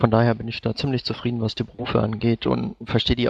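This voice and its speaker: A man talks at a very fast pace, his voice sounding dry and close with no echo. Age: 20s. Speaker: gaming site intern. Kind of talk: casual chat.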